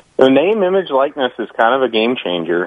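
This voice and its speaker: Using an ordinary speaking voice, a man delivers his words at a moderate pace with ordinary pitch variation. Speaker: sports analyst guest. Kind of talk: casual sports talk interview.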